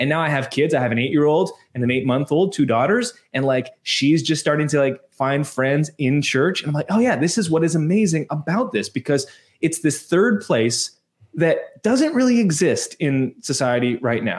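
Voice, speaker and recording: An ordinary speaking voice from a man with a Canadian accent, fairly high in pitch, at a moderate pace, with lively intonation and very even loudness, on a very clean recording with a silent background. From Canada. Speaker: church media entrepreneur. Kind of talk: casual interview chat.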